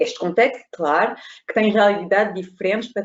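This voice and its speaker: A woman of medium pitch with a non-native accent. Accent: foreign accent in Portuguese. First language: not Portuguese (speaking Portuguese). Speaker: consultant. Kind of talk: webinar presentation. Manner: halting.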